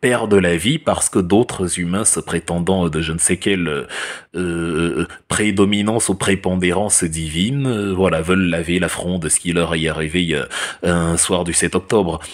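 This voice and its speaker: With a very deep, low pitch and ordinary pitch variation, a man speaks at a fairly slow pace. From Cameroon. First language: Cameroonian language (speaking French). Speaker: political commentator. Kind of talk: opinion monologue. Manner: animated, many hesitations.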